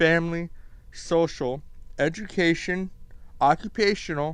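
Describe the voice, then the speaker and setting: A man with an American accent speaks in a high voice at a very slow pace. His intonation is lively. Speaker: gaming youtuber. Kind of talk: casual commentary vlog.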